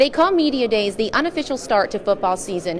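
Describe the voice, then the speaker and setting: A woman's fairly high voice at a very fast pace, with noticeable background noise. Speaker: sports anchor and reporter. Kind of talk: TV sports news anchor delivery. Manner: upbeat, energetic.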